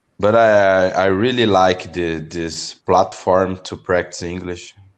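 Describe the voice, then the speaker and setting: Over a quiet background, a man with a Brazilian accent talks very slowly at a very deep, low pitch. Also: fairly even intonation. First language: Portuguese. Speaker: English learner. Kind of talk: language lesson conversation. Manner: halting.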